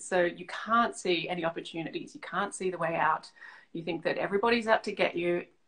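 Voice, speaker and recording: In an Australian accent, a woman speaks fairly quickly at a medium pitch. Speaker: leadership coach. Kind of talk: interview.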